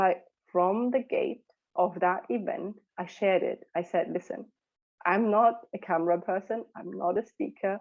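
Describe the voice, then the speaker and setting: A woman speaks at a medium pitch in a German accent. Her pitch varies in an ordinary way. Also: moderate pace. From Germany. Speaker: mentor for mothers. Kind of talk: podcast interview.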